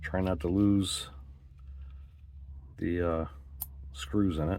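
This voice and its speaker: Audible room echo surrounds a man's very deep, low voice as he speaks very slowly with fairly even intonation. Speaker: scale modeling hobbyist. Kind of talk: tutorial. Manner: casual, hesitant with fillers.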